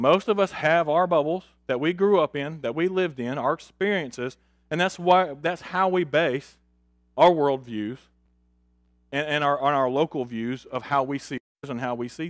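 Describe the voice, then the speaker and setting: A man talks at a moderate pace with ordinary pitch variation on a very clean recording with a silent background. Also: fairly high pitch for a man. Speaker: Bible class teacher. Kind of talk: Bible class lesson with prayer. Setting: church class. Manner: casual, hesitant, repeats words.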